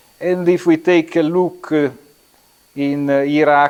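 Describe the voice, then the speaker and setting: A man speaks in an Italian accent. His pace is very slow, with ordinary pitch variation. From Italy. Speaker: architecture lecturer. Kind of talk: lecture. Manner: halting, many fillers.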